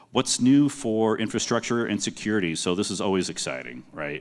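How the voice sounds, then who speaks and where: On a very clean recording with a silent background, the speech runs at a fairly quick pace with very wide pitch swings. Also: man. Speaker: project manager at a software company. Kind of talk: conference presentation. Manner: loud.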